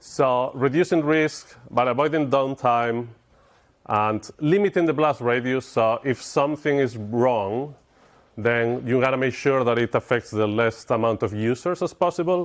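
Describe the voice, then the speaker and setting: A man with a Spanish accent speaks at a fairly slow pace in a medium pitch, with ordinary pitch variation, very even loudness and a quiet background. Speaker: software engineer, conference speaker. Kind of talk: conference talk. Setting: stage with audience.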